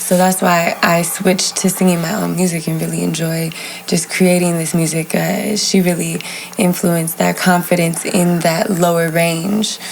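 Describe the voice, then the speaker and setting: Over noticeable background noise, a woman speaks at a moderate pace in a fairly low voice with monotone, flat intonation. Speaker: singer. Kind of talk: casual chat.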